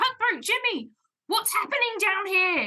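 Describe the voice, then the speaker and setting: A woman in a put-on character voice goes extremely high in pitch, keeping a moderate pace. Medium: actual play. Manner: commanding.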